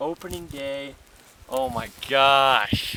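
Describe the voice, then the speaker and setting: A man at a very slow pace with a fairly high pitch, over noticeable background noise. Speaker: hunter and outdoor vlogger. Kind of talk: excited field vlog. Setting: outdoors. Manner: animated.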